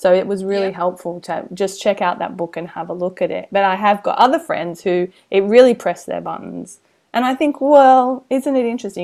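Lively intonation and big swings in loudness mark a woman at a medium pitch. The recording is very clean, with a silent background. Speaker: podcast host, business coach. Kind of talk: casual chat. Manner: fast; animated.

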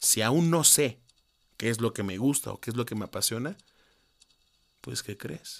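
A man's medium-pitched voice with vocal fry and lively intonation, fairly slow with long, frequent pauses, on a very clean recording with a silent background. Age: 20s. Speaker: podcaster. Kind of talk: personal monologue.

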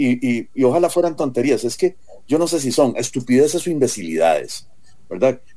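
Fairly quick speech from a man with lively intonation, a medium pitch, vocal fry and a dark, mellow tone. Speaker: presidential candidate. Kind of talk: political debate.

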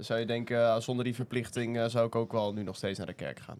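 At a fairly quick pace, a man speaks in a monotone, flat intonation at medium pitch. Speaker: youth media editor. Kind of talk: casual chat.

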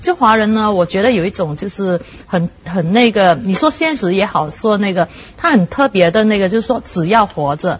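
Noticeable background noise sits behind a woman speaking at medium pitch with lively intonation. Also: moderate pace. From Malaysia. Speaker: writer and newspaper journalist. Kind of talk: talk show discussion.

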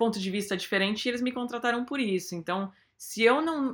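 A woman with a plain, everyday voice speaks at a fairly high pitch with lively intonation, in a very clean recording with a silent background. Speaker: advertising creative lead. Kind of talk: interview.

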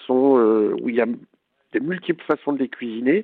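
Speaking at a moderate pace, this man has a medium pitch. His pitch variation is ordinary. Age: 40s. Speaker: home cook and food influencer. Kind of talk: casual interview. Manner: hesitant, many fillers.

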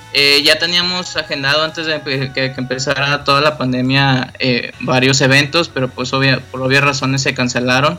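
This man has a fairly high voice and speaks at a moderate pace with hardly any pauses. His intonation stays fairly even over noticeable background noise. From Mexico, Monterrey. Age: 20s. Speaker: rock musician. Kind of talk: interview. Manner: halting.

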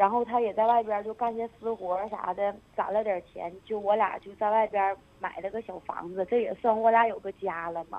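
A woman speaks with a fairly high pitch. Her pace is moderate and her pitch varies in an ordinary way. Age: 20s. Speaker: radio call-in caller. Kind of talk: emotional confession on phone-in. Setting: phone call.

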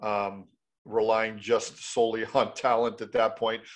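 Against a quiet background, a man with a Canadian accent talks at a moderate pace and a fairly low pitch. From Canada, Mississauga, Ontario. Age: 50s. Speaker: former hockey player, mindset coach. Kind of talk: interview.

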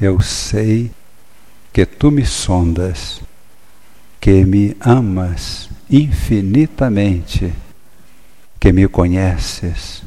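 In a solemn, intense tone, a man with a fairly low pitch speaks at a very slow pace, somewhat breathy, with ordinary pitch variation and long, frequent pauses. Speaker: priest preacher. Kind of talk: fervent prayer of praise, solemn and devout, addressed to God. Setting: church. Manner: solemn, reverent, intense and heartfelt, with a rhythmic, incantatory cadence.

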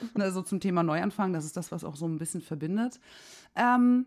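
On a very clean recording with a silent background, a woman of medium pitch speaks at a fairly quick pace, with an animated tone and lively intonation. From southern Germany, Swabia/Franconia border. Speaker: podcast co-host. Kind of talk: casual chat.

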